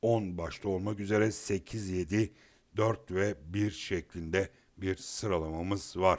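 A man's fairly low pitch at a very slow pace, with fairly even intonation. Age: 50s. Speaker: horse racing tipster. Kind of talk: betting tips monologue. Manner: halting, many filler sounds.

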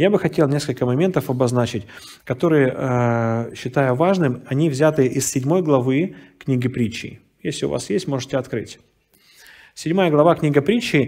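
Moderate pace and ordinary pitch variation against a quiet background. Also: man, fairly high pitch for a man. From Russian Far East, Vladivostok; Russia. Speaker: pastor. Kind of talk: sermon. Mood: warm, storytelling. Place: hall.

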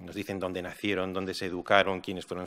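The man's voice has a bright, sharp tone. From Spain. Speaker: philosopher and foundation director; speaker. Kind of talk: panel discussion. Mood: reflective, calm. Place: hall. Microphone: podium.

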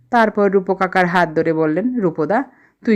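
The clip features a natural reading voice. Nothing else stands out in the description.

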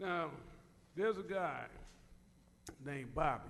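Vocal fry runs through fairly slow speech with audible room echo. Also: man. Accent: American. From US West Coast (Compton, California). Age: 60s. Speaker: public commenter. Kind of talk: public comment at council meeting. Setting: city council chamber.

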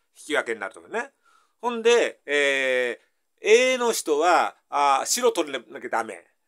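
With a Tohoku accent, a man speaks at a fairly slow pace in a high voice, his pitch swinging very widely and his loudness rising and falling sharply against a quiet background. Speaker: math tutor. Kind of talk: casual math lesson explanation. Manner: casual, folksy. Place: home room. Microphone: camera far.

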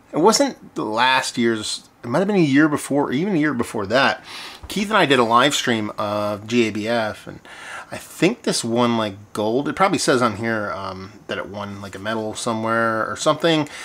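Intonation lively, a man talks at a moderate pace. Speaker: beer reviewer. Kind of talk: casual vlog chat. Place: home room. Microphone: phone near.

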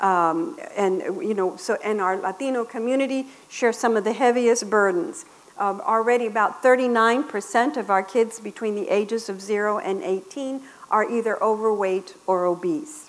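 A woman speaks in a normal speaking voice with an American accent, her pitch fairly high. Her intonation is lively and her pace fairly slow. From Texas, Laredo; Texas. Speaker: public health professor. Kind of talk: conference lecture. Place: meeting room.

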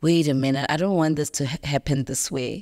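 Over a quiet background, a woman with a very deep, low voice speaks in a monotone, flat way. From South Africa. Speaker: actress. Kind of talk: interview. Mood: reflective, personal storytelling. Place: studio. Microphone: studio mic.

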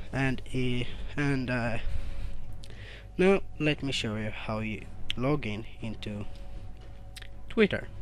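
The speech comes at a very slow pace with long, frequent pauses, the sound dry with no echo and light background noise behind it. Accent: non-native. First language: non-native English speaker. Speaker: tech reviewer. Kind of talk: screen-recorded tech tutorial. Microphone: phone near.

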